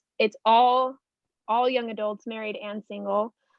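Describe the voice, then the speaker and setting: A woman with an American accent, fairly high in pitch, at a fairly slow pace and with fairly even intonation. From Arizona, US. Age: 20s. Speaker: life coach. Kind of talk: casual chat. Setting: podcast interview.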